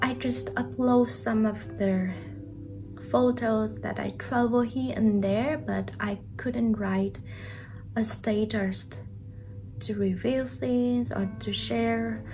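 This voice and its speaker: A woman speaks at a very slow pace. Audible room echo and noticeable background noise accompany her. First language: not English. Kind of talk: personal vlog update. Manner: hesitant, with fillers.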